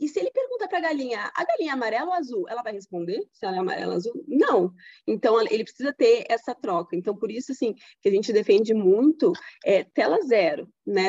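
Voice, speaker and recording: In a dry, close sound without echo, the words come at a fairly quick pace. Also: woman. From Rio Grande do Sul, Brazil. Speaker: pediatrician. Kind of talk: interview. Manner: halting, many fillers and repetitions.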